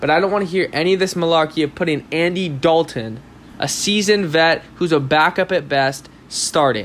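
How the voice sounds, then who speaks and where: A man with an American accent and a plain, everyday voice, fairly high in pitch, with ordinary pitch variation and a fairly quick pace. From Southern California. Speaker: sports podcast host. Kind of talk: solo sports commentary podcast.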